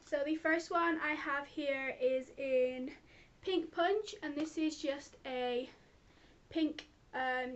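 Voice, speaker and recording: This woman's voice is high, with ordinary pitch variation. She speaks with a British accent. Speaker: beauty vlogger. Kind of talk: product review vlog. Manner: fast.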